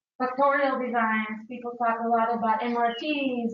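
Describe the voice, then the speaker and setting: In a room with audible echo, a woman talks at a moderate pace in a high, monotone, flat voice. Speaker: researcher lecturer. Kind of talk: lecture.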